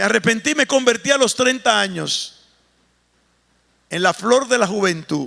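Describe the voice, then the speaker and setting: The voice is raised and projected, with a bright, sharp tone and lively intonation. It moves at a fairly slow pace with long, frequent pauses. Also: man, high pitch for a man. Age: 60s. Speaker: pastor. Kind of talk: sermon.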